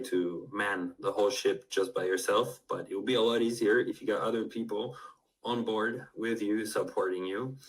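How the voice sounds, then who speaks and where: A man speaks at a moderate pace in a Spanish accent. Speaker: polyglot language tutor. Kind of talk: interview conversation.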